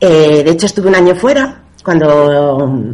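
Lively intonation marks a woman's very deep, low-pitched voice. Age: 30s. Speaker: personal trainer. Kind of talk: interview.

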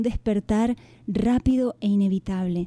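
A woman with a dark, mellow tone and fairly high pitch speaks at a moderate pace with fairly even intonation, in a dry, close sound with no echo. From Canary Islands. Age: 50s. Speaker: author and former teacher. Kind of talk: interview. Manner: gentle.

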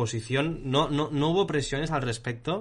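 A man talks at a moderate pace in an unremarkable speaking voice, with ordinary pitch variation. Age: 20s. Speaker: podcast host, marketing technician. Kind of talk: casual chat.

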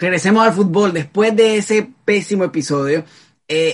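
The man talks at a moderate pace with lively intonation. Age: 20s. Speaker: football podcast host. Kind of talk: casual chat.

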